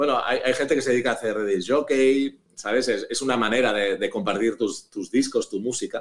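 His pace is moderate. The man barely pauses at all. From Barcelona, Spain. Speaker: musician. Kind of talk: interview.

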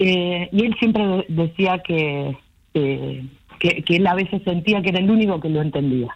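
A woman with a Rioplatense accent and a fairly low pitch speaks at a fairly slow pace, with ordinary pitch variation. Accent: Argentine Rioplatense Spanish. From Argentina, southern Santa Fe province. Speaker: academic researcher and writer. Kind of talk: casual interview.

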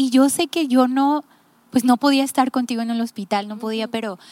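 A woman speaks at a moderate pace in a normal speaking voice, her pitch fairly high with ordinary variation. The sound is dry and close, with no echo. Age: 30s. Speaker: podcast host. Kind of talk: casual chat.

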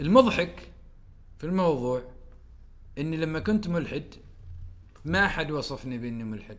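With audible room echo, the speaker goes at a fairly slow pace with lively intonation, big swings in loudness, and long, frequent pauses. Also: man, fairly high pitch for a man. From Oman. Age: 30s. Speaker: writer and poet. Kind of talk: casual chat.

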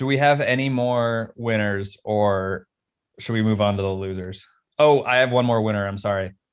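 An unremarkable speaking voice from a man, fairly low in pitch, at a moderate pace with fairly even intonation. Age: 20s. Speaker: podcast host. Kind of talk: casual chat.

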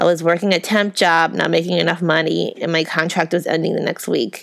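Speaking at a fairly quick pace, a woman with a fairly low pitch and vocal fry comes through on a very clean recording with a silent background. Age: 30s. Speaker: podcast host. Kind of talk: reading aloud.

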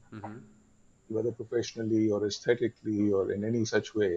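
A man talks at a fairly quick pace. His tone is dark and mellow, and somewhat breathy. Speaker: photographer. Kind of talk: interview conversation. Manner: passionate.

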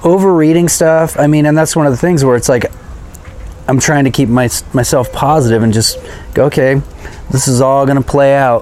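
In a recording with noticeable background noise, a man with an American accent and a fairly high pitch talks at a fairly quick pace with ordinary pitch variation, very even loudness, and long, frequent pauses. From California. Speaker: podcast co-host. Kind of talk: casual chat.

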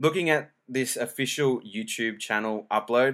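Recorded very cleanly against a silent background, a man with an Australian accent talks at a medium pitch. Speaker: podcaster. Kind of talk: casual solo podcast monologue. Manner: casual, informal, hesitant with filler words.

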